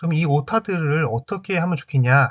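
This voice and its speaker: The intonation is lively. The pace is moderate. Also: man. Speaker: HR training YouTuber. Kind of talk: tutorial. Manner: pauses mid-sentence; casual, filler-heavy.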